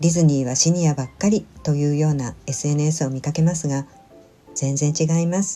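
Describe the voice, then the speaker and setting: With music in the background, a woman speaks in a gentle tone at a moderate pace. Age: 60s. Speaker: solo senior vlogger. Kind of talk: vlog voice-over narration. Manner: polite, gentle.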